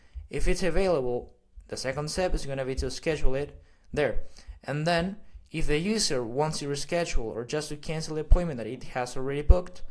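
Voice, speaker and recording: A man's fairly high voice in a Spanish accent, fairly quick in pace, with big swings in loudness. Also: ordinary pitch variation. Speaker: AI automation consultant. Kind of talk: tutorial. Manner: halting, many fillers.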